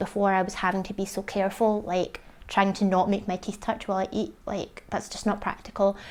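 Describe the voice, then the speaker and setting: This is a woman speaking at a medium pitch. The recording is very clean, with a silent background. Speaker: vlogger sharing jaw surgery recovery. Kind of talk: casual vlog update. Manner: slightly slurred; chatty, many fillers.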